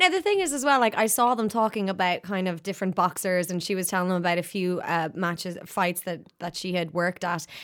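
The speaker has an Irish accent and ordinary pitch variation. The pace is fairly quick, with hardly any pauses. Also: woman, medium pitch for a woman. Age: 30s. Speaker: podcast presenter and producer. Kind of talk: casual chat. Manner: animated.

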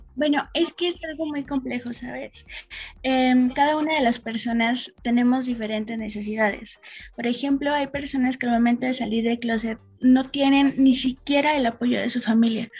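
Over music in the background, a woman with a high pitch speaks at a moderate pace with fairly even intonation. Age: 20s. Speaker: activist. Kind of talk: casual chat.

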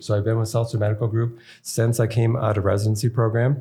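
Speaking at a very fast pace, a man with an American accent sounds somewhat breathy. His pitch sits in the medium range. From US East Coast. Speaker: physician and podcast host. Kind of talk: interview.

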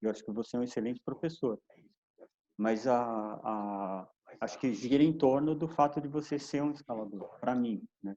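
A man speaks at a moderate pace and medium pitch. His tone is dark and mellow, with ordinary pitch variation. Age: 50s. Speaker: climber and climbing coach. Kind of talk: casual chat.

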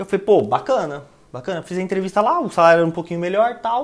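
Speaking at a very fast pace, a man with a São Paulo accent sounds animated, with lively intonation. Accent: Paulistano Brazilian Portuguese. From São Paulo, East Zone. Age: 20s. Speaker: planning manager. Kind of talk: casual interview. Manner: slangy, animated.

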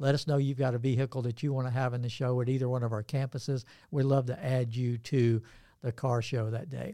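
On a very clean recording with a silent background, a man with a Southern US accent speaks at a fairly quick pace and a medium pitch, his tone dark and mellow and his intonation monotone and flat. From US South, Georgia. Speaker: pastor. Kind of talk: casual interview. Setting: studio.

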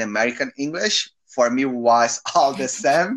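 With a Brazilian accent, a man speaks at medium pitch with ordinary pitch variation. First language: Portuguese. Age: 30s. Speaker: guest sharing language-learning story. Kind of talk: casual interview chat. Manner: halting, non-native English.

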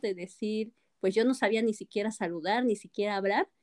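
A woman's fairly high voice at a fairly quick pace with ordinary pitch variation, recorded with a dry, close sound and no echo. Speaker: motivational speaker. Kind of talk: interview. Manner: occasionally tongue-tied.

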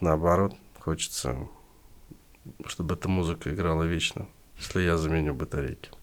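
Over a silent background on a very clean recording, a man talks at a moderate pace in a dark, mellow tone. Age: 40s. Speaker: entrepreneur, co-founder and CEO of a crowdfunding platform. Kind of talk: casual interview.

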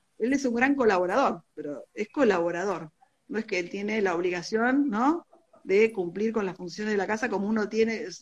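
At a moderate pace, a woman speaks with fairly high pitch and lively intonation. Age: 40s. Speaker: physician and medical teacher. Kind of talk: interview. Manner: halting.

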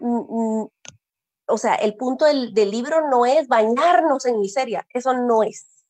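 A high-pitched woman with a Guatemalan accent, lively intonation and a fairly slow pace. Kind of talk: interview. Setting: live stream.

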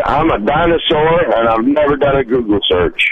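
Behind this man is noticeable background noise. His pitch varies in an ordinary way. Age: 50s. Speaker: radio caller. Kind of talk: casual chat.

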